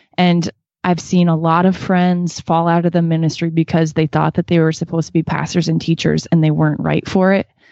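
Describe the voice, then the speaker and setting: A woman with an American accent talks at a fairly quick pace in a fairly low pitch. Her intonation is monotone and flat, and her loudness very even. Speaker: worship musician. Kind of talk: casual interview.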